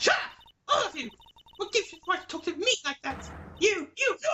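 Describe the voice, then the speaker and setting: In a put-on character voice, the speaker sounds shrill at an extremely high pitch. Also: fairly quick pace. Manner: shrill, angry, defensive.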